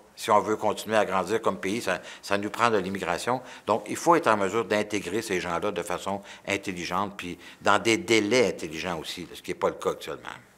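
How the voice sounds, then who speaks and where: Fairly quick and bright, this man's voice has a sharp tone, fairly low pitch and ordinary pitch variation. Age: 60s. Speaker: politician. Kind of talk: interview. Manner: halting, many repetitions and fillers; animated.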